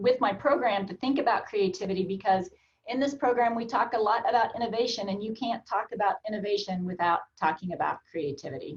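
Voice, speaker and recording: With an American accent, a woman talks very fast at a fairly high pitch, somewhat breathy, her intonation lively. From Oklahoma. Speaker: college administrator. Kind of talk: interview.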